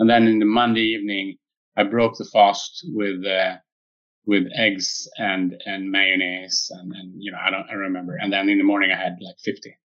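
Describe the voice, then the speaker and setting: A man with a Swedish accent, fairly even intonation, a moderate pace and big swings in loudness. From Sweden. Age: 50s. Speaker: tech company founder and physicist. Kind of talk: interview. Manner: halting, many fillers.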